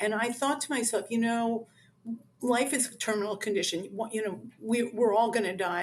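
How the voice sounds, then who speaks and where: This woman has an unremarkable speaking voice with a fairly high pitch. She talks at a moderate pace. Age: 60s. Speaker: author. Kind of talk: interview. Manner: conversational with many fillers.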